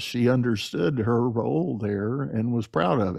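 Over a quiet background, a man with an unremarkable speaking voice talks at a moderate pace in a medium pitch with ordinary pitch variation. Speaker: podcast host and leadership coach. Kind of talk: casual interview conversation.

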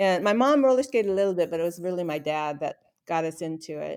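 With a Pacific Northwest accent, the speaker talks at a fairly quick pace on a very clean recording with a silent background. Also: woman. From Seattle area, Washington. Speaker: retired aircraft flight test worker. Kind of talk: casual interview, personal life story.

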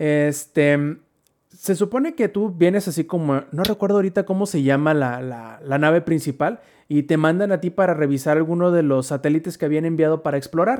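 A man's ordinary speaking voice, fairly quick in pace, with ordinary pitch variation. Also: fairly high pitch for a man, very clean recording, silent background. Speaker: gaming podcast host. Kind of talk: casual chat.

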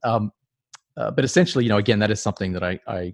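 A man with an Australian accent at a very fast pace, dry and close with no echo, over a quiet background. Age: 40s. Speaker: startup advisor. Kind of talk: interview. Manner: halting, many fillers.

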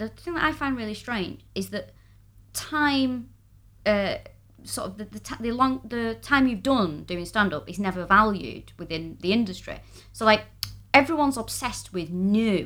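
In a very clean recording with a silent background, a woman with a Mancunian accent and a fairly high pitch speaks at a moderate pace with lively intonation and big swings in loudness. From Manchester, northern England. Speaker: comedian. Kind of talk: casual chat.

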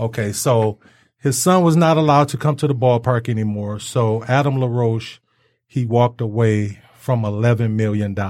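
In a plain, everyday voice, a man with an American accent talks at a moderate pace and medium pitch with ordinary pitch variation, in a very clean recording with a silent background. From Detroit. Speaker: sports talk host. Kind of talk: casual sports talk. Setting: studio.

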